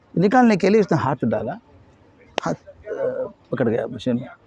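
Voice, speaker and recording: A man's voice, dry and close with no echo, amid noticeable background noise. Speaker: educationist and motivational speaker. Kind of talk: interview. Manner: somewhat halting non-native Hindi mixed with English.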